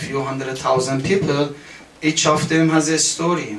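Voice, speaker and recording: Over noticeable background noise and audible room echo, a man talks with fairly even intonation at a fairly high pitch. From Iran. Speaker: political activist. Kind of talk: testimony. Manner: halting.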